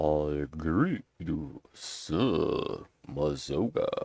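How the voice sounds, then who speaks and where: Putting on a character voice, a man pitches his speech very deep and low. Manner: put-on character voice.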